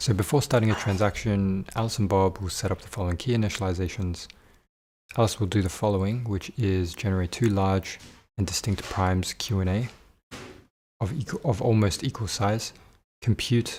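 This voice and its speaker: A man speaks in a fairly low pitch with fairly even intonation and a somewhat breathy voice, leaving long, frequent pauses. The recording is very clean, with a silent background. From Australia. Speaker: student livestreamer. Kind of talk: study livestream talking to chat. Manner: halting, thinking aloud.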